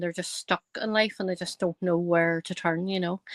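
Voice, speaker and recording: In a strong Northern Irish accent, a woman speaks very fast at a medium pitch with monotone, flat intonation. The sound is dry and close, with no echo. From Northern Ireland, County Tyrone. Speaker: psychic medium. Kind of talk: podcast interview. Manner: hesitant, many fillers.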